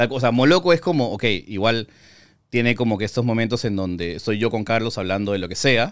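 With an ordinary speaking voice, a man of medium pitch talks at a fairly quick pace with ordinary pitch variation on a very clean recording with a silent background. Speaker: film critic and YouTuber. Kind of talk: casual interview.

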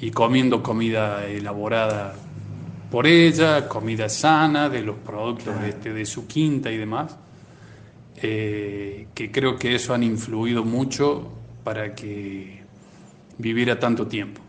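A man's medium-pitched voice with ordinary pitch variation, fairly slow, in audible room echo. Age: 50s. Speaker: cardiologist. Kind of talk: radio interview.

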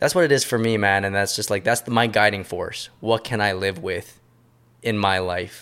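On a very clean recording with a silent background, a man with an ordinary speaking voice talks at medium pitch and a fairly quick pace. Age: 30s. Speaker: podcast host. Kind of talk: casual chat.

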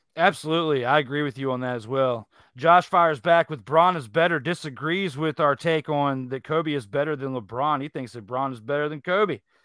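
A man with an ordinary speaking voice, fairly high-pitched with ordinary pitch variation, fairly quick with hardly any pauses. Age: 30s. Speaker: sports debate show host. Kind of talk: live sports debate show. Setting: live online stream.

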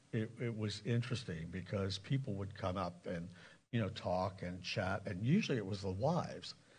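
Using an ordinary speaking voice with an American accent, a man talks at a fairly low pitch with ordinary pitch variation. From Lancaster County, Pennsylvania. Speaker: pastor. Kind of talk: sermon. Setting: church.

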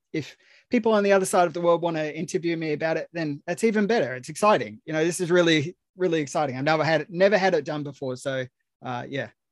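A man with an Australian accent talks at a very fast pace in a fairly high pitch with ordinary pitch variation. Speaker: film writer. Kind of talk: casual chat.

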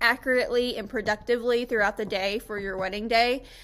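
A woman with an American accent uses a normal speaking voice, a fairly high pitch and fairly even intonation. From Florida, Tampa. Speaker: wedding photographer. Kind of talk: tutorial presentation. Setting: screen-share presentation video. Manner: casual with frequent fillers.

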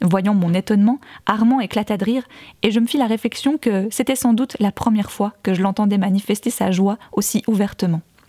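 Pitched fairly high, a woman's dark, mellow voice holds a very even loudness in a dry, close sound with no echo. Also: ordinary pitch variation, fairly quick pace. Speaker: podcast fiction narrator and author. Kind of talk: literary audiobook reading of a first-person novel, narrated as a woman's memoir; casual recap intro followed by scripted narration. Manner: casual and chatty in the recap, then a more formal literary delivery.

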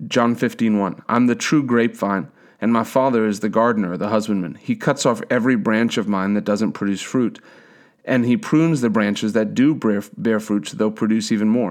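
A normal speaking voice at a fairly quick pace with ordinary pitch variation, in a very clean recording with a silent background. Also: man, medium pitch for a man. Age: 30s. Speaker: preacher. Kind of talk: sermon.

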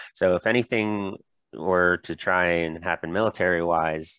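Speaking with an American accent, a man with a very deep, low voice keeps fairly even intonation, recorded with a dry, close sound with no echo in a very clean recording and silent background. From US Florida. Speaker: staff accountant, guest. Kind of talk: casual discussion.

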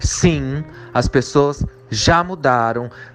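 A man speaks with music in the background. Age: 30s. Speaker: spiritualist. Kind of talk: recorded testimony.

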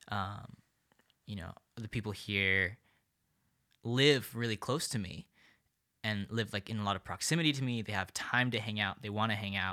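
A man with a fairly low pitch and a bright, sharp tone speaks at a moderate pace with ordinary pitch variation and long, frequent pauses. The recording is very clean, with a silent background. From India (New Delhi). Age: 20s. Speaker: college student, residence assistant coordinator. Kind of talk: casual interview.

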